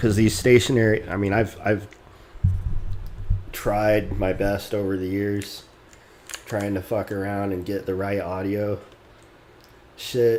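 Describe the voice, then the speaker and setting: Soft-spoken and monotone with flat intonation, a man talks at a fairly slow pace and a fairly low pitch. Long, frequent pauses break up his speech. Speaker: game developer streamer. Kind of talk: casual live coding stream. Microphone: too quiet, mic volume maxed.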